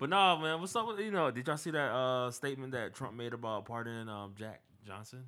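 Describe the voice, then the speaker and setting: A man at a medium pitch, with lively intonation and a fairly quick pace. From Norfolk, Virginia. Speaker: podcast co-host. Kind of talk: casual chat.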